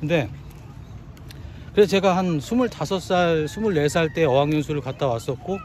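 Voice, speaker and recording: The intonation is lively. The pace is fairly slow. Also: man. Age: 50s. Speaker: trade business owner. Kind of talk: casual talk to camera.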